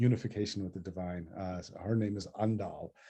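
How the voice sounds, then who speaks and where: A man speaks fairly quickly in a somewhat breathy, dark, mellow tone. His intonation is monotone and flat over a quiet background. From US, son of South Indian immigrants. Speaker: poet and professor. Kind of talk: author talk Q&A.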